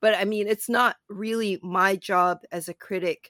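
A woman with a Canadian accent has an ordinary speaking voice at a medium pitch, in a dry, close sound with no echo. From Canada, Toronto. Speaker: film critic and podcast co-host. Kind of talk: casual chat.

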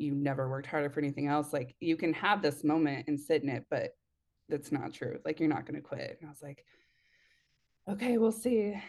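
Over a quiet background, a woman with an American accent and a very deep, low voice talks at a fairly quick pace, with lively intonation and big swings in loudness. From Oregon, Eugene area. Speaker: photographer. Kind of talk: casual interview.

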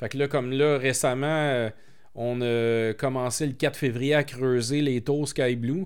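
Over a silent background in a very clean recording, a man talks at a very slow pace with fairly even intonation. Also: medium pitch for a man. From Quebec, Montreal. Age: 40s. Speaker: entrepreneur. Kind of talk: interview.

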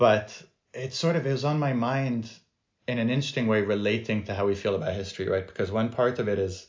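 Somewhat breathy, a man talks at a fairly quick pace. His pitch is fairly low, with ordinary pitch variation. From France. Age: 30s. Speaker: author and film producer. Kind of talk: interview conversation.

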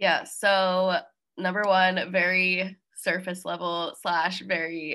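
Her American accent comes with a bright, sharp tone at a medium pitch. The woman's intonation stays monotone and flat. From New Jersey. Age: 20s. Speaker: graduate student and fitness organization trainer. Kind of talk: interview conversation.

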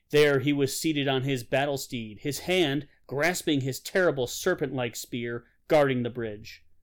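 The delivery is an unforced reading voice. Pitch varies in an ordinary way.

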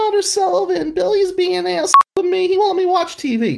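In a put-on character voice, a man whines at an extremely high pitch. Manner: whining.

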